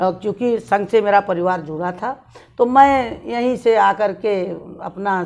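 A woman at a fairly high pitch, with ordinary pitch variation and a very slow pace. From eastern Uttar Pradesh, India (Jaunpur); Uttar Pradesh, India. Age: 60s. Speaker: city mayor, politician. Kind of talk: interview. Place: home room.

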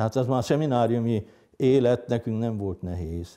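Against a quiet background, a man speaks at a fairly low pitch with a dark, mellow tone and ordinary pitch variation. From northern Hungary, Heves county; Hungary. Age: 60s. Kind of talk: interview testimony; interview answer. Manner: hesitant, with many fillers. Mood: calm, reflective. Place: home room. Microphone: lapel.

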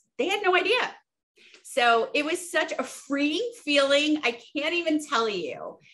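A woman's raised, projected voice, bright and sharp in tone, against a quiet background. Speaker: interview guest. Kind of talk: interview answer. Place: home room. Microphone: video call.

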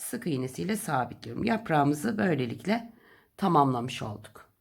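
Recorded very cleanly with a silent background, a woman talks at a fairly slow pace, her pitch swinging very widely. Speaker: crochet tutorial host. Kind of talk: tutorial. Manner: slow counting instructions.

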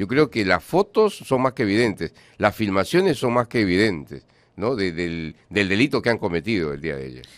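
A man's voice with vocal fry, very wide pitch swings and a moderate pace, over a quiet background. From Peru. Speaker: radio host. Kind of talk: radio interview. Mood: firm, indignant. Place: studio. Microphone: studio mic.

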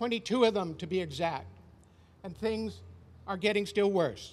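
A man speaks at a high pitch. His intonation stays fairly even. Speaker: speaker. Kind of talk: prepared protest speech. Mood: earnest, indignant. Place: street. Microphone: podium.

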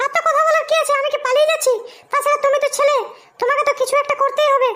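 A woman speaks in a put-on character voice pitched extremely high, at a fairly quick pace. Her intonation is monotone and flat, with very even loudness. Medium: comedy sketch. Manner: blunt, teasing, uses crude slang.

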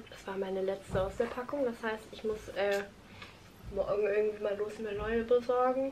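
Light background noise sits behind a moderate-paced voice with fairly even intonation and big swings in loudness. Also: woman, fairly high pitch for a woman. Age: 20s. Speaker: vlogger and university student; vlogger. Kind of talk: casual vlog monologue. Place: home room. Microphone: phone near.

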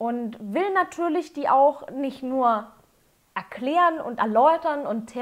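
High-pitched and with lively intonation, a woman is speaking. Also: quiet background. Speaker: whisky reviewer. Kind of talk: tutorial. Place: home room.

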